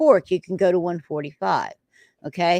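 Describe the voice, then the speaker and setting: This is an unremarkable speaking voice. It keeps a moderate pace. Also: woman. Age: 60s. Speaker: home cook and recipe creator. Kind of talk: casual chat about cooking. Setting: live stream.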